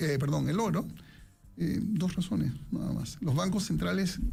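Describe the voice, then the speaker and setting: Audible room echo follows a man who talks at a moderate pace. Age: 60s. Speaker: economics professor and investment commentator. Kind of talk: radio interview.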